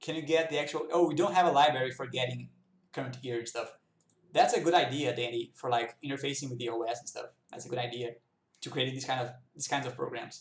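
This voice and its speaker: A man talks at a very fast pace with fairly even intonation. His voice is somewhat breathy, and its loudness swings widely. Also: medium pitch for a man. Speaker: programming instructor. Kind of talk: tutorial. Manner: casual and conversational.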